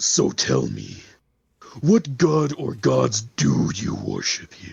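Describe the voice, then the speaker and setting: Growling in a put-on character voice, a man speaks at a medium pitch. His pace is very slow. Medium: actual play. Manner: proud, grandiose.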